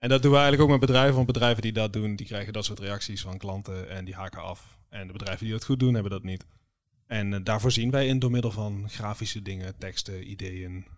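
Over a very clean recording and silent background, a man with a fairly low pitch talks at a very fast pace, with ordinary pitch variation and big swings in loudness. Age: 20s. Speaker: podcast co-host, creative designer. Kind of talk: casual chat.

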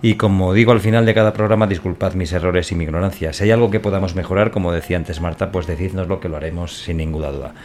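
A man with a very deep, low pitch talks at a very fast pace with hardly any pauses. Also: ordinary pitch variation. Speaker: podcast host. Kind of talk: casual chat.

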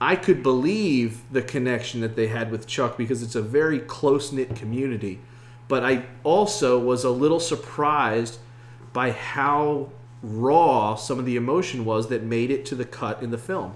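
Here is a man with a plain, everyday voice at medium pitch. He keeps a moderate pace with ordinary pitch variation. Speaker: podcast host. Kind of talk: casual interview.

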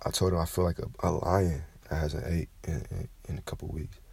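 The man's voice is very deep and low in pitch and somewhat breathy. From Kentucky. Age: 20s. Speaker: podcaster. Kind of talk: casual monologue. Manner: animated.

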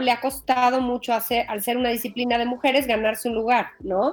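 A high-pitched woman talking at a fairly quick pace. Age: 40s. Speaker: podcast host and media executive. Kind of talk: interview. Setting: remote recording.

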